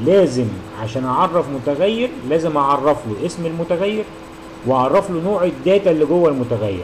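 Amid noticeable background noise, a man speaks at a moderate pace, his fairly high voice full of lively intonation. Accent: Egyptian. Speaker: university lecturer. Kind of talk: tutorial.

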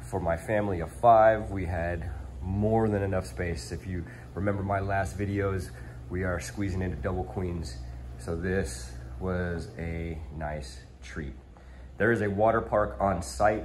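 With light background noise behind him, a man with a very deep, low pitch speaks at a fairly slow pace and with lively intonation. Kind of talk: casual vlog chat. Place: home room. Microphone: phone near.

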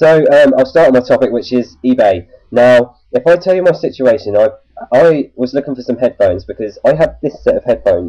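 Against a quiet background, the speech moves at a fairly quick pace. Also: man. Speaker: tech vlogger. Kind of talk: casual vlog chat. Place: home room. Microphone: webcam.

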